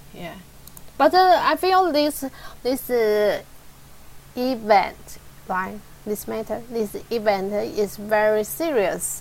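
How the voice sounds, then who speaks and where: A woman with a fairly high pitch speaks at a very slow pace, with long, frequent pauses. Her intonation is lively. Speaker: English learner. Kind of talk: one-on-one English lesson. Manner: halting.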